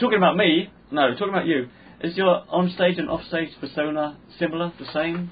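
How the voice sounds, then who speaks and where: Here a man with a London accent talks at a fairly quick pace. His pitch is high, with ordinary variation. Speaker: podcast host and comedian. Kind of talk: casual chat.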